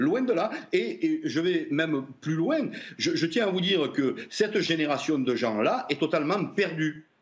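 In a Marseille accent, a high-pitched man talks at a fairly slow pace with lively intonation and very even loudness. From Marseille, southern France. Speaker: former police officer. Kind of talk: televised debate. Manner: animated.

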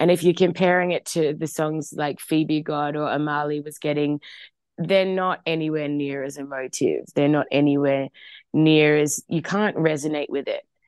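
A woman talks in an Australian accent with a very deep, low pitch. Her intonation is flat and monotone. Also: moderate pace. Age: 20s. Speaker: singer. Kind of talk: interview.

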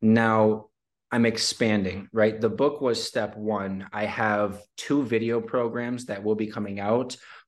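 Against a quiet background, a man with a Midwestern American accent speaks at a fairly slow pace and a fairly low pitch. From Detroit, Michigan. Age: 20s. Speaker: entrepreneur and author. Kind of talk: podcast interview.

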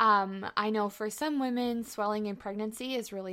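With a normal speaking voice, a woman keeps a fairly slow pace, her fairly high pitch showing ordinary pitch variation. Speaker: podcast co-host and NICU mom. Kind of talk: casual interview.

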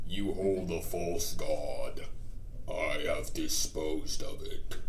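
A man's put-on character voice at a very slow pace, over clear background noise. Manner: imposing, declaring.

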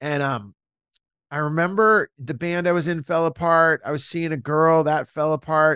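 A man's fairly high, bright, sharp voice in a Californian accent, animated in tone with ordinary pitch variation, at a moderate pace, in a dry, close sound with no echo. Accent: Californian American English. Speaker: comedian and musician. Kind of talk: casual interview chat. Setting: video call.

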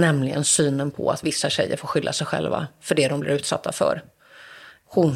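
Using a very deep, low pitch, a woman talks at a moderate pace with fairly even intonation. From Sweden, Gothenburg (Askim). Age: 40s. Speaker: journalist and author. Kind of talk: interview.

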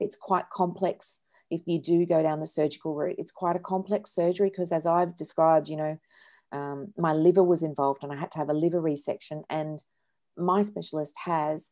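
Dark, mellow tone in an Australian accent, with fairly even intonation, moderate pace and a quiet background. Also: woman. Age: 50s. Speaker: charity co-founder and director. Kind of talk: interview.

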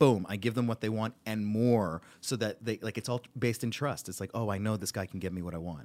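Fairly quick in pace, a man talks in an unremarkable speaking voice. His pitch is medium with ordinary pitch variation. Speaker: comedian and voice actor. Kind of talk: casual chat.

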